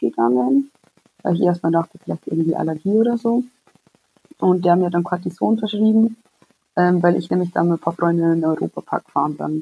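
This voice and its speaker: A woman speaks in a normal speaking voice with a fairly low pitch and lively intonation. The sound is dry and close, with no echo. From Bavaria, near Munich. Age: 20s. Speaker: psoriasis patient. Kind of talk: casual interview.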